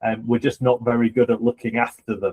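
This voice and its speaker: A man talks in a dark, mellow tone at a medium pitch. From UK. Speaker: podcast co-host, political candidate. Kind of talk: interview discussion. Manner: hesitant with fillers.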